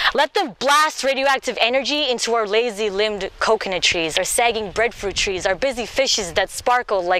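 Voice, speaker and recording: Over noticeable background noise, a woman with a fairly high voice speaks at a moderate pace with ordinary pitch variation, hardly any pauses and very even loudness. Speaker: poet. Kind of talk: slam poetry performance.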